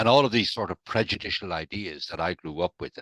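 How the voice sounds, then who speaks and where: With an Irish accent, a man speaks at a fairly quick pace over a quiet background, the sound dry and close with no echo. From Ireland, Dublin. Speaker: recovered alcoholic sharing his story. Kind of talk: interview, personal testimony.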